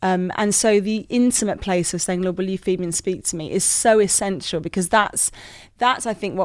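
Speaking with a British accent, a woman has a medium-pitched voice. Her pace is fairly quick. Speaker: youth worker and author. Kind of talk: casual interview chat. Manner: sassy, bubbly, animated.

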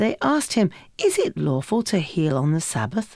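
A woman's fairly low-pitched, normal speaking voice at a moderate pace, on a very clean recording with a silent background. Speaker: Bible reader. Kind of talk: reading aloud.

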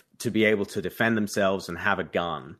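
This man has a British accent and a fairly low pitch. His tone is bright and sharp, and the background is quiet. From United Kingdom. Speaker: author and youth charity leader. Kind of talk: debate discussion.

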